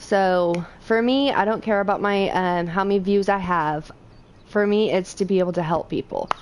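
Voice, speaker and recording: A woman speaks at a moderate pace and medium pitch, with very even loudness and ordinary pitch variation. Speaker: gaming streamer. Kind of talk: gameplay tutorial livestream. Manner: halting, with fillers.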